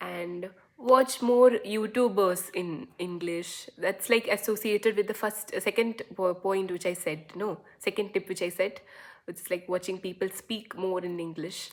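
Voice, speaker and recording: A woman with a Keralan accent talks at a fairly slow pace and a medium pitch, her intonation fairly even, over noticeable background noise. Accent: Indian English, Malayali. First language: Malayalam. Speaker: YouTuber. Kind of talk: casual talking-head vlog. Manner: halting, with many fillers.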